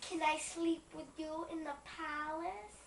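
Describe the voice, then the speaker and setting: A put-on character voice with a high pitch moves at a fairly slow pace, with clear background noise and a slight echo. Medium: stage play.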